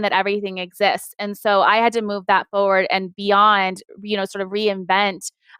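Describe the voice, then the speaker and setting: This is a very clean recording of a woman with a silent background. Her medium-pitched voice sounds dry and close, with no echo. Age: 40s. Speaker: interior design firm owner. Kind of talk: interview. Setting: live web show. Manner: fast.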